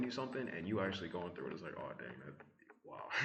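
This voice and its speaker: A man's fairly low voice amid audible room echo, with music in the background. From mix of US South, Midwest and Brooklyn. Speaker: vlogger. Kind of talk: casual monologue vlog. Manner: rambling with many fillers.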